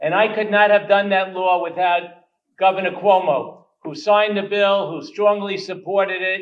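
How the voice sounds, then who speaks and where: With a New York accent, a man speaks at a high pitch with fairly even intonation. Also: moderate pace. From New York, Queens. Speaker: state legislator. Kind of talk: speech.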